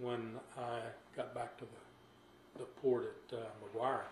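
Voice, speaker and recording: Audible room echo and light background noise. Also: man. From Texas, Bryan/College Station; Texas. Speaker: retired fighter pilot, war veteran. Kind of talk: oral history interview. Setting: at home. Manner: halting. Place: home room.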